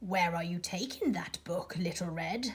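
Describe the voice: In a gruff put-on character voice, a female-sounding speaker talks at a moderate pace and a medium pitch for a woman.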